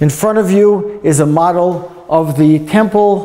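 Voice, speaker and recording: Fairly slow speech with a New York accent and ordinary pitch variation, over noticeable background noise and audible room echo. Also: man. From US, New York. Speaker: tour guide. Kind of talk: guided tour talk.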